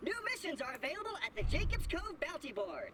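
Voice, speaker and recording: At a fairly quick pace, a put-on character voice squeaks in an extremely high pitch over clear background noise. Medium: video game. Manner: erratic, manic.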